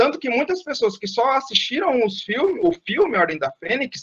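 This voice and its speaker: Delivered in an animated tone with very wide pitch swings and a Brazilian accent, the voice has a dry, close sound with no echo. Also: man. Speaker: guest lecturer. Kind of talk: online lecture. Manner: fast.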